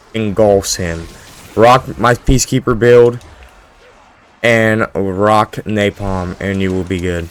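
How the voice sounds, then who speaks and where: A man speaks quietly at a very slow pace with a fairly low pitch, ordinary pitch variation and long, frequent pauses. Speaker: gaming YouTuber. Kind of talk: gameplay commentary. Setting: home at night. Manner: casual, rambling.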